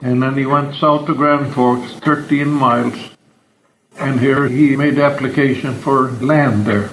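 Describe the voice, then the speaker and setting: A man with a Norwegian accent, fairly high in pitch, fairly slow, with monotone, flat intonation and very even loudness. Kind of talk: family oral history recollection. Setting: home recording.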